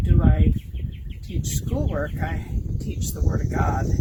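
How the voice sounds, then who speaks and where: A rather unhurried delivery against clearly audible background noise. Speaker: grandparent sharing a church message. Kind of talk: casual reflection.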